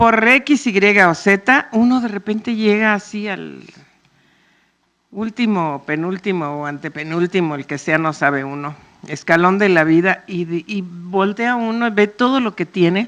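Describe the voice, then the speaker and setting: Her intonation lively, a woman with a medium pitch speaks fairly slowly in a Mexico City accent. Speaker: panel moderator. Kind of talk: public talk. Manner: loud; animated.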